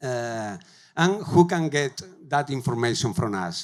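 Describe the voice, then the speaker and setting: A man speaks at a fairly slow pace with a Spanish accent, recorded very cleanly against a silent background. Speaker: tech company growth lead, conference speaker. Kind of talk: conference talk. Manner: halting, many fillers.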